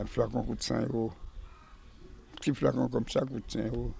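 The voice has vocal fry. Its pitch swings very widely. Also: man. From French Antilles. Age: 80s+. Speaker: cockfighting breeder. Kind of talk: casual interview.

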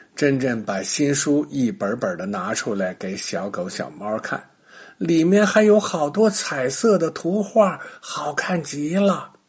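A man with a fairly high pitch and a slightly husky edge talks at a fairly slow pace, using ordinary pitch variation.

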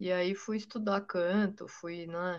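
A woman's fairly slow, fairly even delivery in an ordinary speaking voice, with a quiet background. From Brazil, São Paulo state. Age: 40s. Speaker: blues guitarist. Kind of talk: casual interview chat.

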